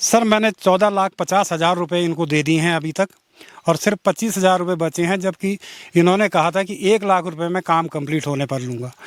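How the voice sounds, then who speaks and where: A man with a high-pitched voice speaks at a moderate pace in a dry, close sound with no echo. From Uttarakhand, Pauri Garhwal. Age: 60s. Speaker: retired civil official. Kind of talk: interview testimony.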